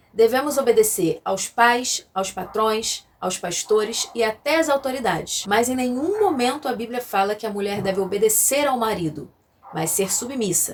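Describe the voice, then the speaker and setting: Delivered at a moderate pace, a normal speaking voice carries lively intonation. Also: woman, fairly high pitch for a woman. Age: 30s. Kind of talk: scripted teaching with scripture reading. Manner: formal.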